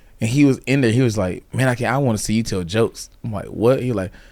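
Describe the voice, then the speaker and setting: In a Southern US accent, a man with a fairly low pitch speaks at a very fast pace with ordinary pitch variation. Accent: Southern US (Georgia). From US South, central Georgia. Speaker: stand-up comedian. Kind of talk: casual chat.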